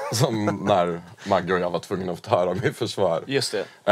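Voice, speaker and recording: An unremarkable speaking voice from a man, fairly slow, with ordinary pitch variation. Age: 30s. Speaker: podcast co-host. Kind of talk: casual chat.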